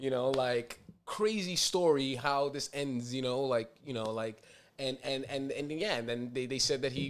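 Speaking in a New York accent, a man uses a medium pitch, ordinary pitch variation and a moderate pace. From New York City (Inwood/Dyckman, Upper Manhattan). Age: 30s. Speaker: podcast host, nonprofit president. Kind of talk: casual chat. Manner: halting, many fillers.

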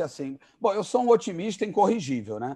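This man speaks at a moderate pace. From Rio de Janeiro, Brazil. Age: 50s. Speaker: entertainment entrepreneur. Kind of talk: casual interview.

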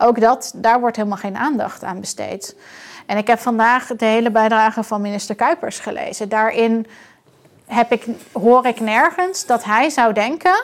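A woman talks at a fairly high pitch and a moderate pace. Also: ordinary pitch variation. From outside the Netherlands. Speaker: doctor and board member of a critical health group. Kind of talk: interview conversation. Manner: halting.

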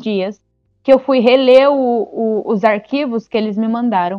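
A woman with a high voice talks at a moderate speed, her pitch varying in an ordinary way as music plays behind her. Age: 20s. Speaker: amateur astronomer and science communicator. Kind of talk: explainer; casual chat.

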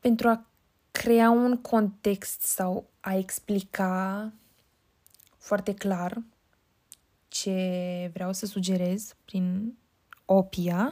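A woman's dark, mellow voice at a very slow pace, with long, frequent pauses and fairly even intonation, in a very clean recording with a silent background. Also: medium pitch for a woman. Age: 20s. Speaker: podcast host and university student. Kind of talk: solo podcast monologue.

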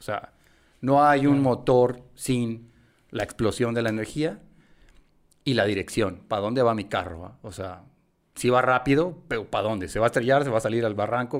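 A normal speaking voice from a man, medium in pitch, at a fairly quick pace. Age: 40s. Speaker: marketing consultant. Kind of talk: casual interview.

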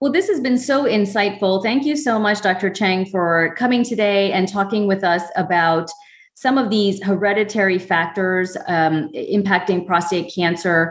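A woman's plain, everyday voice at medium pitch, with ordinary pitch variation, a moderate pace, and hardly any pauses. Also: very even loudness. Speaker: medical oncologist and podcast co-host. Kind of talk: educational podcast interview.

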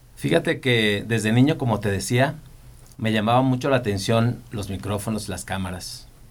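A man speaks in a normal speaking voice at medium pitch, keeping a moderate pace with ordinary pitch variation. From Michoacán, Mexico. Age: 40s. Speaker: TV and events producer. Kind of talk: interview.

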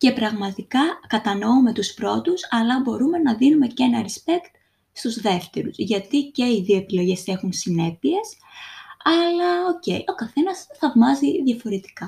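A woman's dark, mellow tone at a fairly slow pace, with very wide pitch swings. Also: fairly high pitch for a woman. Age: 20s. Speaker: podcast host. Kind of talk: solo podcast monologue.

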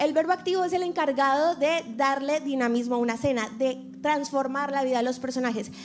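A woman's high voice at a moderate pace with ordinary pitch variation, music in the background. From Colombia. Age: 20s. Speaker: actress and reporter sharing testimony. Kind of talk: testimony.

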